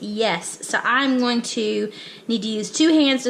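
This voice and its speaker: Over noticeable background noise, a woman speaks very slowly in a high-pitched voice. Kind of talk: casual talk to camera.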